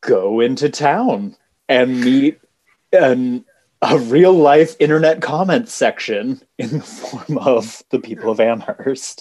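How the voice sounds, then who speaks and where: Lively intonation marks this man's fairly high voice, in an American accent. He speaks at a very slow pace. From US. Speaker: podcast co-host. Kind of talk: casual chat.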